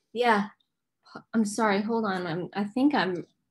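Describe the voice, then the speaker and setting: In an American accent, someone speaks at a fairly slow pace with ordinary pitch variation over light background noise. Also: woman. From US South, Nashville, Tennessee; Tennessee. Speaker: musician and actress; interview guest. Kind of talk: casual chat. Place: home room. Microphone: video call.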